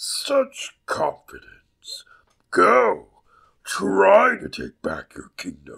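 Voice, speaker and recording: The man's voice comes across as raspy. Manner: commanding, imperious.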